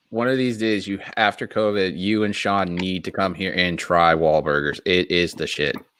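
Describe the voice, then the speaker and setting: With a Boston accent, a man talks at a moderate pace in a very deep, low pitch, with hardly any pauses. The recording is very clean and the background silent. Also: ordinary pitch variation. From Massachusetts, Boston area. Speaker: wrestling podcast host. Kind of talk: casual chat.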